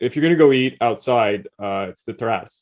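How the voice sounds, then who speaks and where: This man has an ordinary speaking voice, talking at medium pitch and a moderate pace. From Quebec, Canada (English-speaking). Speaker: podcast co-host. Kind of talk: casual chat.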